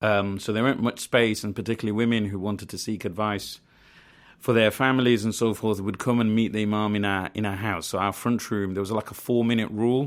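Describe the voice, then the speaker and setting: The speech rushes by at a very fast pace in a Birmingham accent. The intonation stays monotone and flat. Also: man, fairly low pitch for a man. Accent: Birmingham (Brummie) English. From Birmingham, England (Lozells), family from Bangladesh. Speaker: community organiser. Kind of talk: interview. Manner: hesitant, many fillers.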